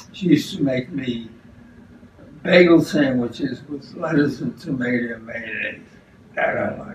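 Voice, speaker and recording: A man with a New York accent talks at a moderate pace in a fairly high voice, with ordinary pitch variation, big swings in loudness, and long, frequent pauses, amid light background noise and audible room echo. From New York City. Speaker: retiree recalling childhood. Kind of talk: interview answer. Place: kitchen. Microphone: camera far.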